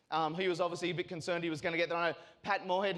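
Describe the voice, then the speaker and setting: A high-pitched man speaks very fast with an Australian accent and fairly even intonation. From Australia, North Shore of Sydney. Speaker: sales and marketing executive. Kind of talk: keynote speech. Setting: stage with audience. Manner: casual, filler-heavy.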